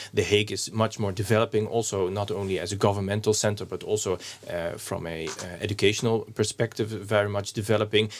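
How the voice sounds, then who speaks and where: Speaking at a very fast pace, a man with a Dutch accent keeps a fairly low pitch and a flat, monotone intonation. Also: very clean recording, silent background. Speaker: municipal alderman. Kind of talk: interview conversation. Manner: halting, hesitant with fillers.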